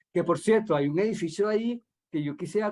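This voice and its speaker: The man's voice is pitched high. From Venezuela, Caracas. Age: 60s. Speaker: radio host. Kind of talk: radio interview. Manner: halting, many repetitions.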